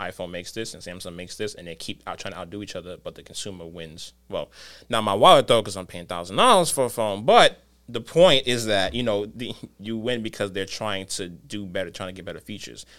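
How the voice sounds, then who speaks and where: Heard on a very clean recording with a silent background, a man with an American accent and a normal speaking voice talks at a fairly quick pace, fairly low in pitch with ordinary pitch variation. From New York City, the Bronx. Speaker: video editor. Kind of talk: casual chat.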